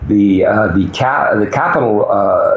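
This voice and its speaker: The recording has audible room echo. Noticeable background noise is present. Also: man. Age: 60s. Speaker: mining sector veteran and commentator. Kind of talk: interview. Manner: hesitant, many fillers.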